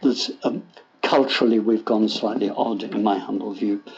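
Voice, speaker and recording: Noticeable background noise accompanies a man talking at a moderate pace with ordinary pitch variation. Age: 70s. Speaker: food policy professor. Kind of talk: lecture. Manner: conversational.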